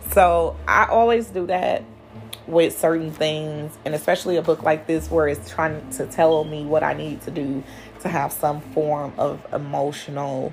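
A woman talks at a very deep, low pitch and a fairly slow pace. Noticeable background noise is present. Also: ordinary pitch variation. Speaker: podcast host. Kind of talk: personal monologue. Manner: casual, laughing.

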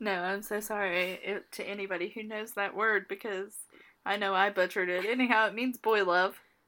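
A woman speaks at a fairly quick pace with a playful, bright, sharp tone. Her intonation is monotone and flat, on a very clean recording with a silent background. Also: medium pitch for a woman. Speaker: podcast co-host. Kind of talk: casual chat, joking. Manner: playful, joking.

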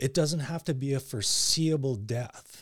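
Pitch variation is ordinary. The voice carries some breathiness. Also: man. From Canada, Surrey near Vancouver. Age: 50s. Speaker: coworker guest. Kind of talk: casual chat.

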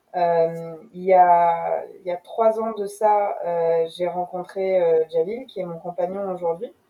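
Her pace is very slow and her pitch fairly low. The woman keeps a fairly even intonation, though her loudness swings widely. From France, Rouen. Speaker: entrepreneur. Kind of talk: interview.

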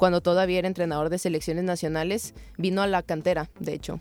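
A woman with a fairly low pitch races along at a very fast pace in a monotone, flat delivery. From Mexico, Tepic Nayarit. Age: 20s. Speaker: footballer. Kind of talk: interview.

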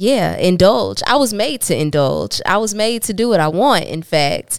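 A woman's normal speaking voice, moderately paced with lively intonation, on a very clean recording with a silent background. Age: 30s. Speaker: podcast co-host. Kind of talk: casual chat.

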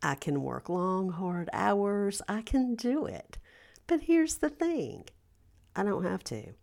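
Over a very clean recording with a silent background, a woman talks. Her pace is very slow. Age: 50s. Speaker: podcast host and life coach. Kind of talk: casual monologue. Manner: animated.

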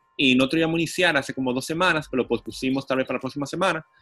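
A man at a very fast pace, ordinary pitch variation, dry, close sound with no echo. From Dominican Republic, Santo Domingo. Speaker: city councillor and cycling activist. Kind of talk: casual interview. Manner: animated.

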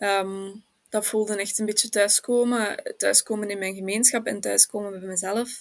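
On a very clean recording with a silent background, a woman of medium pitch speaks at a moderate pace in a flat monotone. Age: 20s. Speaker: sociology student. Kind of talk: personal testimony in interview.

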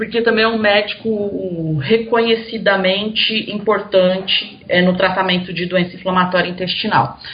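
A woman speaks at a moderate pace and medium pitch with fairly even intonation and hardly any pauses, with audible room echo and noticeable background noise. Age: 40s. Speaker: journalist and Crohn's patient. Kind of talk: casual interview about illness.

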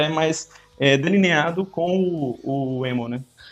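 A man speaks with a fairly high pitch. There is noticeable background noise. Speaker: podcast co-host. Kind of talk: casual chat.

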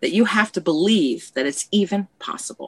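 A woman's voice with vocal fry comes through dry and close, with no echo. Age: 50s. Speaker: podcast guest. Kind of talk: casual chat.

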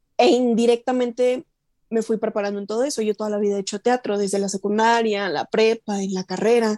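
A woman's dark, mellow, fairly high voice, fairly quick and fairly even in intonation, with a dry, close sound and no echo. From Chihuahua, Mexico. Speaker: voice actress. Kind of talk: interview.

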